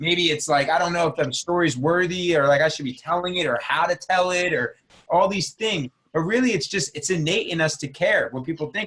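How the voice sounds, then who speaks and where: Animated and fairly quick, a man with a New Jersey accent speaks at a high pitch in a bright, sharp tone with ordinary pitch variation. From New Jersey, US. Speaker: entrepreneur and business mentor. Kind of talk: podcast interview.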